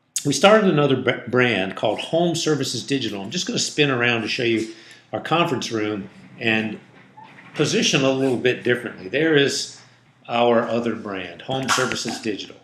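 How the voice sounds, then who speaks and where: Medium in pitch with ordinary variation, a man talks at a fairly quick pace. Audible room echo and noticeable background noise surround his voice. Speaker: digital marketing agency owner. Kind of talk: tutorial. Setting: office conference room.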